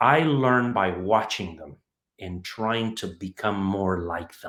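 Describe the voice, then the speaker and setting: Speaking very slowly in a Spanish accent, a man with a fairly low pitch shows ordinary pitch variation and big swings in loudness. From Mexico City. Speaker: home builder, entrepreneur. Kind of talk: interview. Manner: halting.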